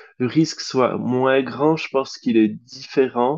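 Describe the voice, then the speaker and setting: A man speaks at a medium pitch with fairly even intonation. His pace is very slow. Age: 30s. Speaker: drag queen podcast co-host. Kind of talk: casual chat.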